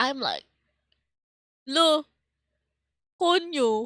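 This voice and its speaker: A woman projects a raised voice at a high pitch. The recording is very clean and silent in the background, with a dry, close sound and no echo. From Philippines. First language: Tagalog. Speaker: streamer. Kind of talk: casual chat. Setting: live stream.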